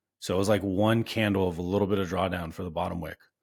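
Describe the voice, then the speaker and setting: On a very clean recording with a silent background, a man uses a plain, everyday voice, fairly low in pitch with ordinary pitch variation. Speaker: day trader streaming live trades. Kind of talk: live trading stream commentary. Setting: live stream. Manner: casual, conversational.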